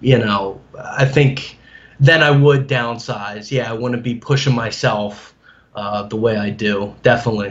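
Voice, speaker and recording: This man has an unremarkable speaking voice with an American accent. His pitch is medium, his pitch variation ordinary, and his pace moderate. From New Jersey. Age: 30s. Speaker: amateur bodybuilder. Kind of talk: interview.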